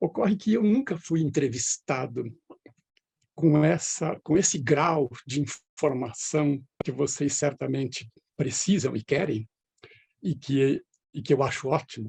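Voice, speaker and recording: Somewhat breathy and fairly high-pitched, a man speaks at a fairly slow pace with ordinary pitch variation and long, frequent pauses, the sound dry and close with no echo. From Brazil, northwest São Paulo state (near Andradina). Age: 70s. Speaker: retired professor. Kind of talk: interview.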